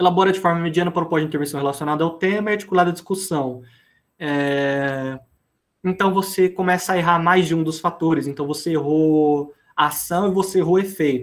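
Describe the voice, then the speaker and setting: This man has a high pitch and fairly even intonation. He talks at a fairly quick pace. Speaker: teacher. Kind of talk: lecture. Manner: fast.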